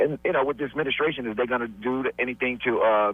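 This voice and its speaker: A man against noticeable background noise. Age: 60s. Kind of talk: phone-in question. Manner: halting.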